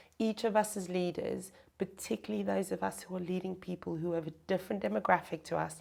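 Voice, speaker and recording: Speaking in a South African accent, a woman uses a fairly low pitch, a dark, mellow tone, vocal fry and lively intonation at a fairly quick pace. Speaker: chief people officer, HR executive. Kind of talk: interview, conversational.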